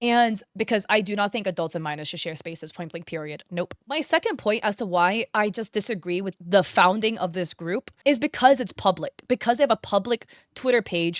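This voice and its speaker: The intonation is lively in a normal speaking voice at a moderate pace. The sound is dry and close, with no echo. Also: woman. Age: 20s. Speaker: YouTube drama commentator and streamer. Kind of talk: online drama commentary. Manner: casual, conversational with filler words.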